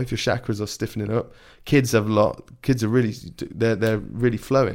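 With an English accent, a man of medium pitch talks at a fairly quick pace in monotone, flat intonation on a very clean recording with a silent background. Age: 20s. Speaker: podcast host, parkour athlete. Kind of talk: casual chat. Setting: home podcast room.

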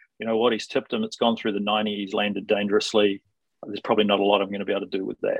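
With a New Zealand accent, a man speaks in a fairly low pitch with monotone, flat intonation. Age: 40s. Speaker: sports lawyer. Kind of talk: podcast interview.

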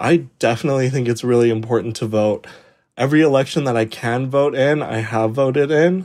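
In a very clean recording with a silent background, a man with a western Canadian accent talks at a fairly quick pace with ordinary pitch variation. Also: medium pitch for a man. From Calgary, Alberta. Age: 20s. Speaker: university student. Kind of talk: interview.

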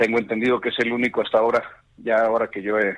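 A man is speaking. His pitch sits fairly low. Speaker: politician. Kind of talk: interview.

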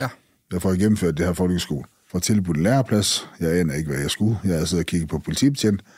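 Here a man talks at a very fast pace. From Skagen, North Jutland, Denmark. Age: 40s. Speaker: former drug dealer. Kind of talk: personal testimony interview.

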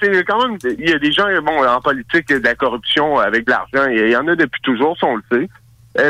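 A man with a Quebec accent speaks at a fairly quick pace, his tone bright and sharp and his intonation lively. The sound is dry and close, with no echo. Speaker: radio show host, guest. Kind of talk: casual chat. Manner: halting.

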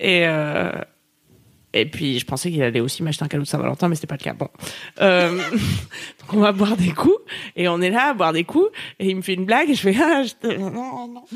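Animated and at a moderate pace, a woman speaks at a medium pitch with very wide pitch swings and long, frequent pauses. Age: 30s. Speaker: podcast co-host. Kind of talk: casual chat. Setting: live stream.

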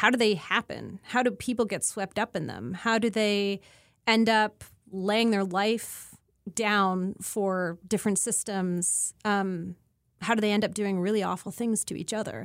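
An ordinary speaking voice from a woman with a Canadian accent, medium pitch, fairly even intonation and a fairly slow pace, on a very clean recording with a silent background. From Canada, rural Ontario. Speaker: disinformation researcher. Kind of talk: interview.

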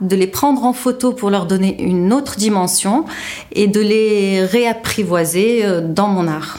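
A woman's fairly high voice with ordinary pitch variation at a fairly slow pace, amid noticeable background noise. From Tunisia. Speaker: visual artist. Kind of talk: interview testimony.

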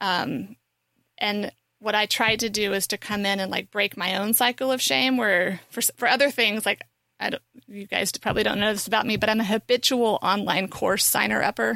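A woman with a bright, sharp tone speaks at a moderate pace and medium pitch, her intonation fairly even and the sound dry and close with no echo. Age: 40s. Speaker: podcast co-host. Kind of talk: casual chat.

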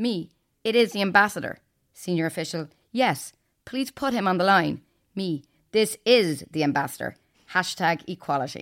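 Lively intonation in an Irish accent at a moderate pace, with long, frequent pauses, on a very clean recording with a silent background. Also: woman, medium pitch for a woman. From Ireland. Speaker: podcast host and journalist. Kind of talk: news podcast discussion and interview.

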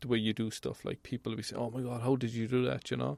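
Talking at a very fast pace, a man uses a medium pitch with vocal fry. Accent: Irish. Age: 40s. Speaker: welding inspector. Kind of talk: casual chat. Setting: mobile studio.

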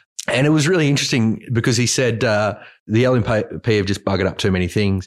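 Ordinary pitch variation with an Australian accent on a very clean recording over a silent background. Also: man. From country Queensland, Australia. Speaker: journalist. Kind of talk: casual chat.

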